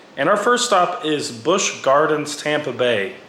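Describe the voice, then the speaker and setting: Both background noise and room echo are noticeable around this man. His intonation is lively. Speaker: theme park vlogger. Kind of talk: voiceover narration. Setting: recorded at home.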